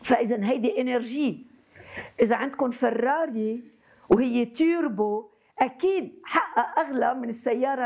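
A woman in a Lebanese accent speaks with lively intonation at a fairly high pitch. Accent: Lebanese Arabic with French code-switching. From Lebanon. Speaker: psychotherapist. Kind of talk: lecture. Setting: university hall with student audience. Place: classroom.

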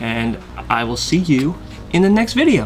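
A man talks at a moderate speed while music plays faintly behind him. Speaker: product reviewer. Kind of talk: casual vlog outro. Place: home room.

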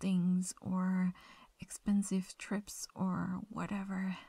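A woman's very slow, somewhat breathy speech at medium pitch, dark and mellow in tone. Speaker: ASMR roleplay performer. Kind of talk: whispered late-night girlfriend roleplay confession to a sleeping partner. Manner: hushed intimate whisper, tender and affectionate; slow, soft-spoken with occasional shy little laughs.

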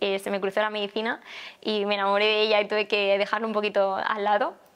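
Her voice is fairly high and monotone, with flat intonation. This woman talks at a very fast pace. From Valencia, Spain; Spain. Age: 20s. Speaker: plastic surgeon, festival queen candidate; candidate. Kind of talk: candidate interview. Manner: hesitant, with fillers. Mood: cheerful, smiling. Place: home room.

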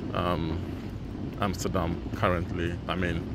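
The sound is dry, with no echo, as a man speaks. Loud background noise runs underneath. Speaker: travel vlogger. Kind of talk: casual vlog chat. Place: station. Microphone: phone near.

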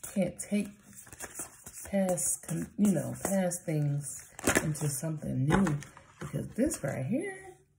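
The speaker goes at a very slow pace with ordinary pitch variation. Loud background noise fills the recording. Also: woman. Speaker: card reader. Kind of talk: casual oracle card reading. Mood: warm, playful, laughing. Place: home room.

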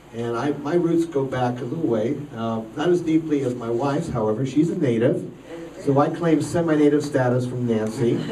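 A man at a moderate pace with ordinary pitch variation, against noticeable background noise. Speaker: politician. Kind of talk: campaign speech. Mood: warm, humorous. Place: hall.

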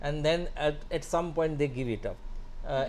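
Delivered at a moderate pace, the speech has a dark, mellow tone. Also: man. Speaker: guest. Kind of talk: interview answer. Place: studio. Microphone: lapel.

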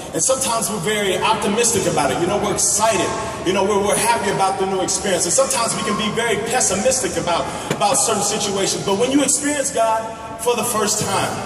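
With music behind him and audible room echo, a man talks at a very fast pace and high pitch with ordinary pitch variation. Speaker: guest. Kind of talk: sermon. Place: stage.

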